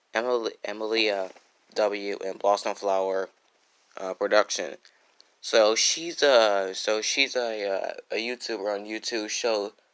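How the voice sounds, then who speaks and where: Against a very clean, silent background, a soft-spoken man talks with a fairly low pitch. His pace is fairly slow and his intonation fairly even. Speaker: YouTuber reading fan stories. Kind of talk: casual livestream intro then reading aloud. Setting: home, at night, live stream. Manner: soft-spoken, keeping quiet at night; halting, many fillers and restarts.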